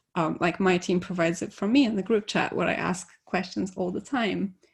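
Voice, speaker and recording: A woman with a non-native accent talks at a fairly slow pace, fairly low in pitch, with vocal fry. The recording is very clean and the background silent. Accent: nondescript foreign. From Poland. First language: Polish. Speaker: conference speaker, devops engineer. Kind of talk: conference talk.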